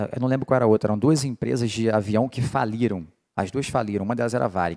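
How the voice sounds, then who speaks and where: The background is quiet as a man speaks fairly quickly. His pitch varies in an ordinary way. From Rio de Janeiro, Brazil. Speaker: political marketing lecturer. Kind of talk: lecture. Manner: casual, animated. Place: hall. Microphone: handheld.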